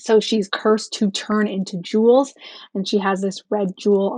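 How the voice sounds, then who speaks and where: The speaker is a woman with a somewhat breathy voice. She keeps to a moderate pace. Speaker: YA author and booktuber. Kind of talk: voiceover narration of journal flip-through. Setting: recorded voiceover. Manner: casual, many fillers.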